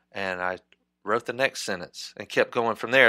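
A man with a Southern US accent speaks in a bright, sharp tone, recorded very cleanly against a silent background with a dry, close sound and no echo. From Mississippi. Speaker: novelist and screenwriter. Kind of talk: interview.

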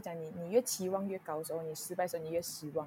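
A woman talks at a very fast pace. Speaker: podcast guest sharing personal story. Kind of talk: casual interview chat. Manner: halting, many fillers.

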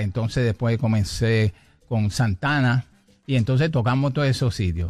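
On a very clean recording with a silent background, a man speaks at a medium pitch. He talks at a fairly slow pace with a Puerto Rican accent. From Puerto Rico. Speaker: salsa pianist and arranger. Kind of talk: interview.

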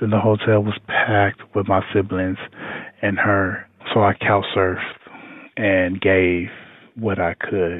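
At a very slow pace, a man speaks in a fairly low, monotone, flat voice broken by long, frequent pauses. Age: 30s. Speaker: culinary school graduate. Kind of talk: personal testimony.

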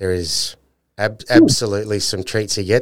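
In a very clean recording with a silent background, a man with an Australian accent speaks at a fairly quick pace and a fairly low pitch. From North Queensland, Australia. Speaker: podcast host. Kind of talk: casual interview chat.

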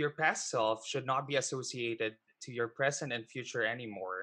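A speaker with a Filipino accent is heard on a very clean recording against a silent background. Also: man. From Philippines. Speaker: online show host and financial advisor. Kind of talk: interview.

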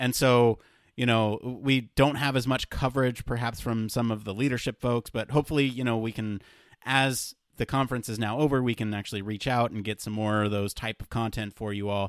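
With a dry, close sound and no echo, a man speaks at a fairly quick pace with fairly even intonation. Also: medium pitch for a man. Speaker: podcast host. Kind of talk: casual chat. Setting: remote call. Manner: fast.

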